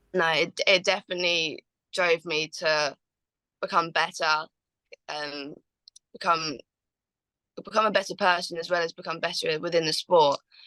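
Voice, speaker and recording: With a southern English accent, a woman speaks at a moderate pace in a fairly low, bright, sharp voice, her intonation fairly even and her speech broken by long, frequent pauses, the sound dry and close with no echo. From Watford, England. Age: young. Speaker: Muay Thai fighter, world champion. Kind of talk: interview answer.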